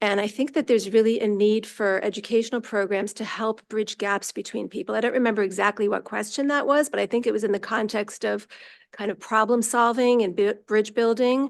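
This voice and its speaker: A woman with an American accent talks at a fairly quick pace in a fairly high pitch, with hardly any pauses and fairly even intonation. She has an unremarkable speaking voice, and the background is quiet. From New York. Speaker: commission applicant. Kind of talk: interview. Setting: city council meeting.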